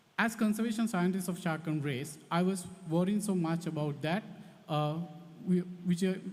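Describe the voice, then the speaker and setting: Audible room echo surrounds a man speaking at a moderate pace. His high pitch shows ordinary variation. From Sri Lanka. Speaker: conservation scientist. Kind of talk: conference talk. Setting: conference hall with audience. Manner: halting.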